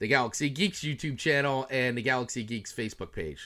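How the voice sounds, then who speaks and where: In a very clean recording with a silent background, a man talks at a medium pitch in a bright, sharp tone. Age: 40s. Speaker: personal brand coach. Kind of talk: casual chat.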